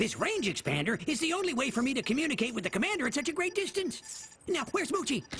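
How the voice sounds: A cartoonish character voice pitched high, with very wide pitch swings. It rattles along at a very fast pace.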